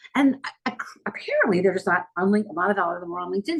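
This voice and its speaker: Very wide pitch swings in a somewhat breathy woman's voice. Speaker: PR and LinkedIn consultant, company CEO. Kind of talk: podcast interview. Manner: fast.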